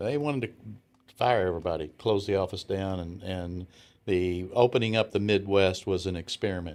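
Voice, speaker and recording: Speaking with a strong Southern US accent, a man talks at a moderate pace. His pitch is very deep and low, with ordinary variation. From US South. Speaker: retired businessman. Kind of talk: interview. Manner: halting.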